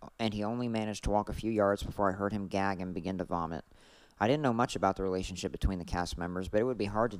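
The clip features an unforced reading voice. Nothing else stands out.

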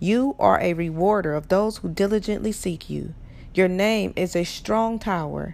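A woman speaks in a normal speaking voice at a fairly slow pace, with ordinary pitch variation. The recording is very clean, with a silent background. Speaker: prayer guide leader. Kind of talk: fervent prayer, then spoken coaching instructions. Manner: earnest, pleading, reverent; encouraging, instructive.

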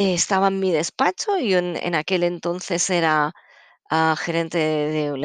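Against a quiet background, a woman speaks at a moderate pace with a fairly low pitch, in a dry, close sound with no echo. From Catalonia, Spain. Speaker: psychologist and therapist podcast host. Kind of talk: casual solo podcast talk. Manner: halting.

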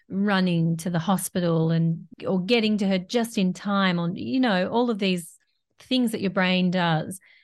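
A woman with an Australian accent at a fairly slow pace, against a quiet background. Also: medium pitch for a woman, ordinary pitch variation. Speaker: podcast host. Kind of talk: interview.

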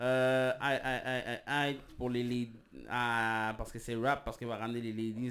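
In a very clean recording with a silent background, a man with a Quebec accent speaks at medium pitch and a fairly slow pace with monotone, flat intonation. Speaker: podcast co-host. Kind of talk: casual chat. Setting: live stream.

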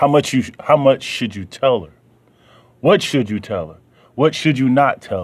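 With a Southern US accent, a man talks with lively intonation, vocal fry, big swings in loudness and long, frequent pauses against a quiet background. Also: medium pitch for a man, moderate pace. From US South. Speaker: radio show host. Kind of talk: casual monologue. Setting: basement home studio.

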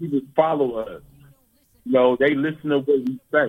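An ordinary speaking voice from a man with an American accent, fairly high in pitch, with fairly even intonation and a moderate pace. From San Francisco Bay Area, California. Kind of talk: interview. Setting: phone call.

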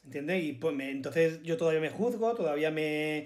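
With an Andalusian accent, a man speaks at a fairly high pitch with ordinary pitch variation. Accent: Andalusian (Málaga). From Málaga, Andalusia, Spain. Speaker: actor. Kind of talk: casual chat.

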